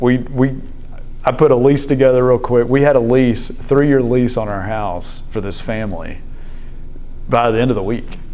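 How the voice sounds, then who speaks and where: In a Southern US accent, a man speaks at medium pitch and moderate pace with a dark, mellow tone. His intonation stays fairly even, and the room echo is audible. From Memphis, Tennessee (US South). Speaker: business executive sharing faith story. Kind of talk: testimony. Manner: hesitant, many fillers and restarts.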